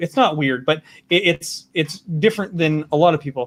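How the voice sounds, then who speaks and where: At a moderate pace, a man speaks in a Canadian prairie accent with a fairly high pitch. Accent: Canadian prairie accent, noticeable. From Saskatchewan, Canada. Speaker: talk show host. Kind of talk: casual interview.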